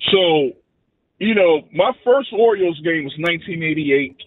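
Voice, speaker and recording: The man's voice is high in pitch, and its variation is ordinary. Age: 40s. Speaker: radio caller. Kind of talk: call-in chat. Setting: phone call.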